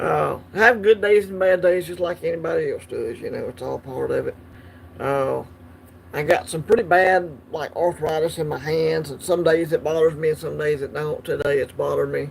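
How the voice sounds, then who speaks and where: The speech moves at a moderate pace with big swings in loudness. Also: man. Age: 50s. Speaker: coin collecting livestream host. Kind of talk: casual livestream chat. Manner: hesitant, many fillers.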